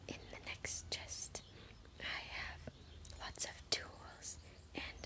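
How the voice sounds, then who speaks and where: Noticeable background noise sits under a very slow whisper. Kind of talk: whispered ASMR gameplay narration. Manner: whispered.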